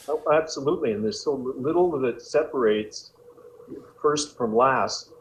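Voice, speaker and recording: There is noticeable background noise as a man speaks at a moderate pace. His pitch is fairly high, with ordinary pitch variation. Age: 60s. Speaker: bodybuilder and former football coach. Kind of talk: casual interview chat.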